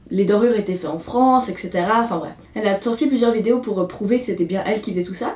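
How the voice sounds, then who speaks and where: A woman talks at a very fast pace with hardly any pauses, her medium pitch showing ordinary variation. Background noise is noticeable. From Switzerland. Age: 20s. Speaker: beauty YouTuber. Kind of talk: casual review talk to camera.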